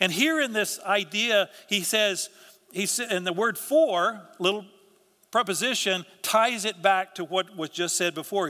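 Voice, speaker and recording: A man's raised, projected voice with a bright, sharp tone and ordinary pitch variation. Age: 60s. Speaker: pastor. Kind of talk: sermon. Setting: church. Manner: halting.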